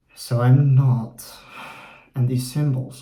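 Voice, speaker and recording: A man with an American accent, medium pitch and a dark, mellow, somewhat breathy tone, with audible room echo. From Poland and the Netherlands. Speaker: YouTuber and Norse studies student. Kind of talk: casual vlog monologue. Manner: conversational with fillers.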